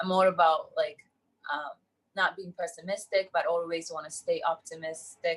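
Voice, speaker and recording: A woman with a Japanese accent talks at a moderate pace. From Japan, countryside. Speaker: entrepreneur. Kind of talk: interview.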